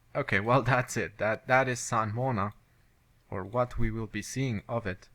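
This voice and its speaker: A man's voice at medium pitch with a bright, sharp tone. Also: fairly even intonation, moderate pace. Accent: non-native. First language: not English. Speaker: video game let's play commentator. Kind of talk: gameplay commentary. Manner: halting.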